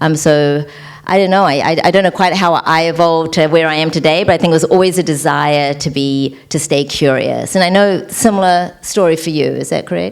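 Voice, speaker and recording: A woman's very deep, low voice, fairly even in intonation with hardly any pauses, over noticeable background noise. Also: fairly quick pace. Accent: New Zealand. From New Zealand. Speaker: entrepreneur, former attorney. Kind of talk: panel interview.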